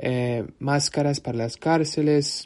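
At a very slow pace, a man speaks in a fairly high pitch with a dark, mellow tone and monotone, flat intonation. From United States. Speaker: nonprofit communications worker. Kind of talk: prepared monologue. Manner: halting.

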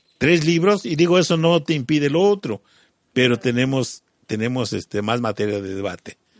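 A man of medium pitch talks at a fairly quick pace with very wide pitch swings, and the sound is dry and close with no echo. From Mexico, Morelos. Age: 50s. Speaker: local businessman and community activist. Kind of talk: radio interview. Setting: community radio studio.

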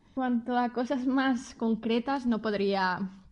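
At a fairly slow pace against a quiet background, a woman speaks in a plain, everyday voice with ordinary pitch variation. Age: 30s. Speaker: customer service worker. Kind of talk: interview answers.

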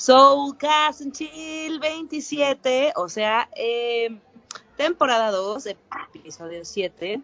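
Her pitch leaps up and down very widely as this woman talks. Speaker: podcast host. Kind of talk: casual chat.

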